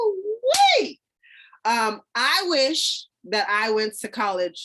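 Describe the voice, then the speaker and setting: A woman's animated tone with ordinary pitch variation. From Louisiana, Shreveport; military kid. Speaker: podcast co-host, Air Force veteran. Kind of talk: casual chat.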